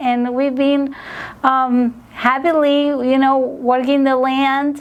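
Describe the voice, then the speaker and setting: Using a Spanish accent, a woman speaks in a high voice with monotone, flat intonation. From Argentina, Buenos Aires. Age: 40s. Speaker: restaurant worker and farmer. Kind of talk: interview. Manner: halting, many fillers.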